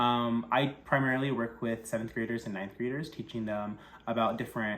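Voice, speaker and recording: A man speaks in a West Coast accent. His intonation is fairly even. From California, San Jose. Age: 20s. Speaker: sex education teacher. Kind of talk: scholarship application video. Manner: halting, many fillers.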